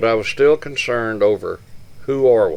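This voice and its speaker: The speaker has an East Texas accent. The delivery moves at a fairly slow pace. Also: man. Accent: East Texas Southern US. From Northeast Texas. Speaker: community elder. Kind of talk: storytelling.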